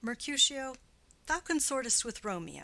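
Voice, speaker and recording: A woman puts on a raspy character voice at a high pitch with lively intonation. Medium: read story. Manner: cold, haughty.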